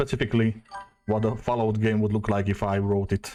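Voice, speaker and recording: With a Slovak accent, a man speaks in a dark, mellow tone on a very clean recording with a silent background. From Slovakia. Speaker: streamer. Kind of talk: casual chat. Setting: live stream. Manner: halting.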